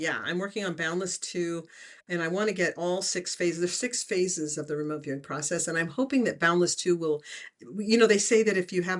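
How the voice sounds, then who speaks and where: A plain, everyday voice moves along at a fairly quick pace with ordinary pitch variation. The background is quiet. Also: woman. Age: 60s. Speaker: remote viewing teacher and author. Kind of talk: interview.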